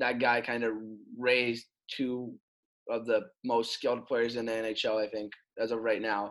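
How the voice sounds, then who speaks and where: A man talks at a moderate pace and medium pitch, in a monotone, flat way. He leaves long, frequent pauses. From Russia (Moscow). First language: Russian. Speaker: hockey player. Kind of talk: interview.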